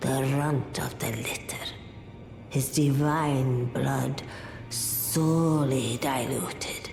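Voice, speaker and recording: In a put-on character voice at a low-to-middle pitch, the speaker goes at a very slow pace, with slight echo and faint music in the background. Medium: game stream. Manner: slow, cryptic.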